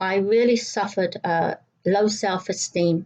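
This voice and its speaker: Speaking in a southeast English accent, a woman has a medium pitch. Her intonation stays fairly even. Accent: English Brighton. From southern England, Brighton. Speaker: church devotional speaker. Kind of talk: devotional talk.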